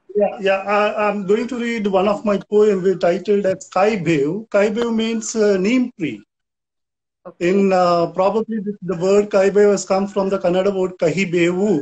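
At a moderate pace, a man with a high pitch and a Goan accent speaks with fairly even intonation. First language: Konkani. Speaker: poet. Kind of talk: poem performed in Konkani. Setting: video call, live stream. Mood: calm, friendly. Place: home room. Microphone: video call.

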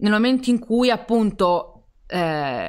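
Recorded very cleanly against a silent background, a woman with a fairly high pitch speaks at a very slow pace. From Turin, northern Italy. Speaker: publisher, live stream co-host. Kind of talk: live stream interview. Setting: live stream from home.

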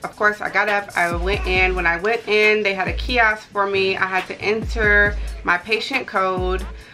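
Faint background music accompanies a woman speaking at a moderate pace. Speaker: lifestyle vlogger. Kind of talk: casual vlog chat. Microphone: camera far.

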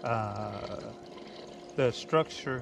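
Noticeable background noise runs under a man's voice, which has a dry sound with no echo. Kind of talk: tutorial. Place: boat. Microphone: camera far.

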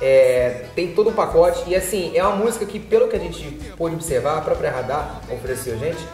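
Faint music plays in the background as a man talks at a fairly quick pace, with audible room echo. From Rio de Janeiro. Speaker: singer-songwriter. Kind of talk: interview answer. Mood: relaxed, smiling. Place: office.

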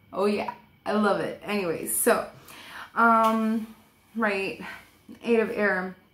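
Speaking very slowly with long, frequent pauses, a woman uses a fairly high pitch and fairly even intonation while the room echo is audible. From Portuguese heritage. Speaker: tarot reader. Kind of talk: tarot reading monologue. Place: home room. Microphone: webcam.

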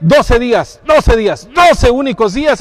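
Very wide pitch swings give the voice an animated tone. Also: man. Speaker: livestream host. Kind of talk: live on-location interview. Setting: inside a circus tent. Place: tent. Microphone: phone near.

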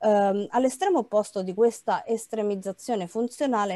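With a dark, mellow tone, a woman speaks at a fairly quick pace with ordinary pitch variation in a dry sound with no echo. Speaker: historian. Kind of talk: conference presentation. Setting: online live-streamed event. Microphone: webcam.

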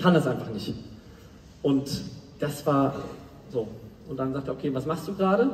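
A man's fairly high voice at a moderate pace, with ordinary pitch variation, long and frequent pauses, audible room echo and light background noise. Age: 20s. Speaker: motivational speaker. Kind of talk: motivational talk. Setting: stage with audience. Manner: animated. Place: stage.

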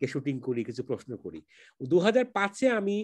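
His pitch rises and falls across a very wide range. Behind this man, the background stays quiet. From Bangladesh, Sylhet. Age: 50s. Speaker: filmmaker. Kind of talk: interview.

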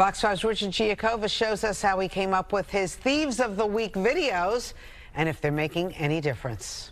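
Delivered at a moderate pace, the speech shows ordinary pitch variation. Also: woman, medium pitch for a woman.

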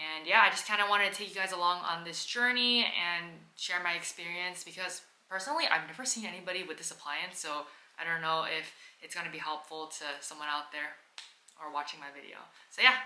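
A woman talks at a very fast pace with a fairly low pitch. Her loudness swings widely, and the room echo is audible. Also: ordinary pitch variation. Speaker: vlogger. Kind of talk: casual vlog chat. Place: home room. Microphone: camera far.

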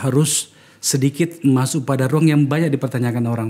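A man talks in a dark, mellow tone, his pitch moving in a typical way. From Indonesia. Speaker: political podcast host, former politician. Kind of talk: podcast interview. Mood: calm, probing. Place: studio. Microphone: studio mic.

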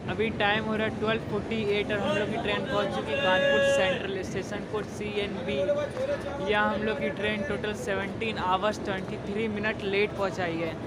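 Over loud background noise, a man speaks at a moderate pace, the sound dry with no echo. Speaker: travel vlogger. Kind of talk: casual vlog chat. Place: station. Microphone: lapel.

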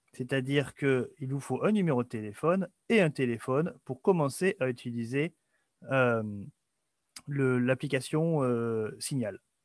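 A man's fairly high voice with lively intonation and long, frequent pauses, dry with no echo, against a quiet background. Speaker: webinar host. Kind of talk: webinar presentation. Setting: video call. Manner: hesitant, filler words. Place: home room. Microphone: webcam.

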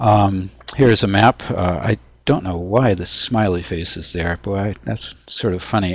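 At a moderate pace, a man with an American accent uses a normal speaking voice, fairly low in pitch, with ordinary pitch variation. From US Pacific Northwest (Washington State). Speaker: forest entomologist. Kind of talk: webinar lecture. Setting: webinar.

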